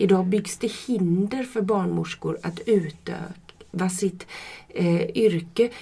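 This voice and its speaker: A woman's very slow, medium-pitched voice with vocal fry, ordinary pitch variation and a dark, mellow tone. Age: 50s. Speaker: midwife. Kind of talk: casual interview. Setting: studio, shared microphone.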